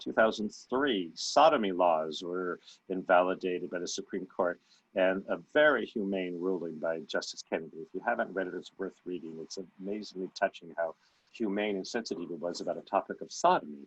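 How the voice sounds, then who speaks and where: A man talks at a fairly quick pace with a very deep, low pitch. His pitch variation is ordinary. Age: 60s. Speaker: panelist. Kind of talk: panel discussion. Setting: video call.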